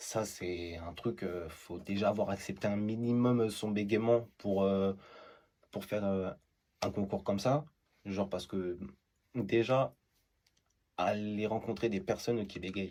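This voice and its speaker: This man talks at a very slow pace in a fairly low pitch, leaving long, frequent pauses. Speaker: TikTok creator. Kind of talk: interview answer.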